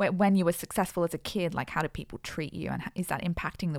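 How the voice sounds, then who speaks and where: A woman with an Australian accent speaks at a very fast pace, her voice dry and close with no echo on a very clean recording with a silent background. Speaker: podcast co-host. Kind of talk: casual chat.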